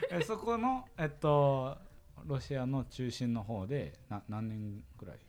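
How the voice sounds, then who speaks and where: Speaking at a very slow pace, a man with a medium pitch lets his voice swing very widely in pitch. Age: 20s. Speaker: university student podcast co-host. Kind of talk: casual chat. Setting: studio.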